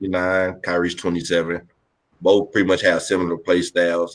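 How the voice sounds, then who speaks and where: A man talks in a very deep, low pitch at a moderate pace. His intonation is monotone and flat. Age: 20s. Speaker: podcast co-host. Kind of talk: casual chat.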